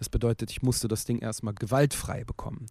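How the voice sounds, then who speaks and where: Heard on a very clean recording with a silent background, a man with a dark, mellow tone speaks at a moderate pace with fairly even intonation. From Berlin, Germany. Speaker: rapper and author. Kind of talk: interview.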